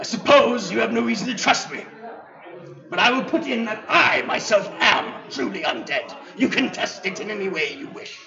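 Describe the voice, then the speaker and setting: Doing a put-on character voice, a man speaks at a moderate pace in a high pitch over clear background noise. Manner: formal, archaic, dignified.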